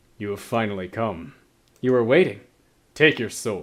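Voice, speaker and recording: The voice is a man's put-on character voice. It sits at a medium pitch. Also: moderate pace, lively intonation. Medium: read story. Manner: stern, formal.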